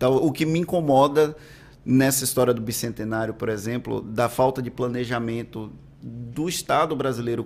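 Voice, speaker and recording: Fairly quick, medium-pitched male speech, an ordinary speaking voice with fairly even intonation. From Valença, Bahia, Brazil. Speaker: news podcast host. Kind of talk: interview.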